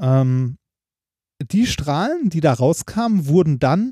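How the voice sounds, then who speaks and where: Very slow and lively in intonation, a man speaks at a fairly high pitch with a dark, mellow tone. The recording is very clean, with a silent background. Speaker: doctoral researcher and podcast co-host. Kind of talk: casual chat. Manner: halting.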